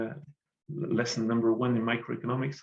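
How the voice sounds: Medium-pitched man with vocal fry and a slightly husky edge, speaking at a moderate pace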